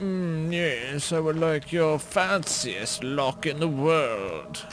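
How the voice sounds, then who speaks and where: Putting on a character voice, a man talks very slowly at a fairly high pitch over clear background noise. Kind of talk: posh, haughty. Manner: snobbish, affected.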